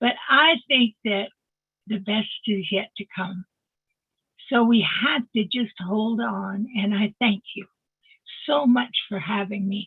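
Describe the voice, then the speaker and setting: A woman with a fairly high pitch speaks at a very slow pace, leaving long, frequent pauses. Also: ordinary pitch variation. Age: 80s+. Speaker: online business member sharing feedback. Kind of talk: testimony.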